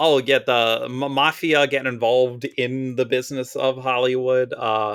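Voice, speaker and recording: With a strong Philadelphia accent, a man speaks at a medium pitch and moderate pace in monotone, flat intonation. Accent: strong Mid-Atlantic (Philadelphia). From US Mid-Atlantic, Philadelphia. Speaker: Magic card flavor text writer. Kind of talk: casual podcast interview. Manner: loud.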